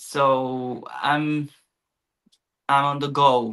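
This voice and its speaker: Speaking with a Spanish accent, a man uses a monotone, flat intonation. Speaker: artist and illustrator. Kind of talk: interview. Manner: halting.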